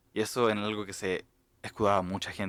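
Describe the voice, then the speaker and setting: In an Argentine accent, a man speaks with a bright, sharp tone in a dry, close recording with no echo, very clean and with a silent background. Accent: Argentine-tinged Spanish from mission. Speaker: podcast co-host. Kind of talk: casual chat.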